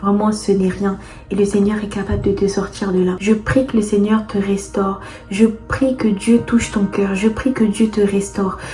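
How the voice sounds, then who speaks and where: Against music in the background, a woman with a medium pitch speaks at a fairly slow pace in a monotone, flat way. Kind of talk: faith testimony and exhortation. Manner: hesitant, repeating words.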